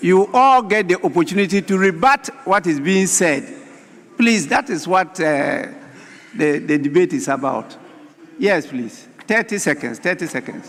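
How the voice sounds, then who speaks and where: Against noticeable background noise, a man with a high pitch speaks fairly slowly, his pitch swinging very widely. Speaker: parliamentary speaker presiding. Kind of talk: parliamentary proceedings. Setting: parliament chamber. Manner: formal.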